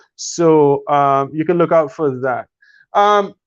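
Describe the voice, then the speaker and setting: A man speaks against a quiet background. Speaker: esports live stream host. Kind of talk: casual live stream chat. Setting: live stream video call.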